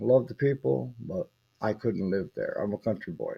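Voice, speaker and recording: A man speaks at a moderate pace with a medium pitch. His tone is dark and mellow. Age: 60s. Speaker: farmer. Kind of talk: casual talk to camera.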